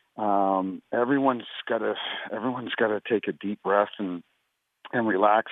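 This is a man with a normal speaking voice and a fairly low pitch. He keeps a moderate pace. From New Brunswick, Canada. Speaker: retired hockey referee. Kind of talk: radio interview.

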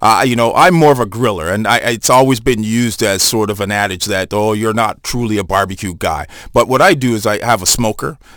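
A man with a plain, everyday voice speaks fairly quickly at a fairly low pitch with ordinary pitch variation. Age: 40s. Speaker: chef. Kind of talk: casual chat. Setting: studio.

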